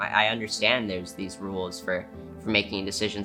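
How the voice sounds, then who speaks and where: Music plays in the background as a man with a fairly low pitch talks at a moderate pace with fairly even intonation. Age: 20s. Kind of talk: interview answer.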